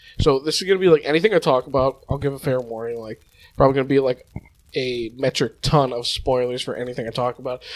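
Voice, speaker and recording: A man with a medium-pitched voice speaks very fast. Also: ordinary pitch variation. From United States. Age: adult. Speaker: youtuber. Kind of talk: casual unscripted monologue. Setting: at home. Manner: halting, many false starts.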